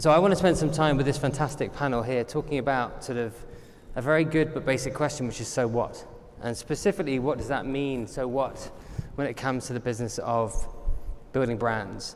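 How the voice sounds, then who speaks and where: A man with a British accent speaks at a fairly quick pace and medium pitch. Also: ordinary pitch variation. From Britain. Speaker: panel moderator. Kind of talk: moderated panel discussion.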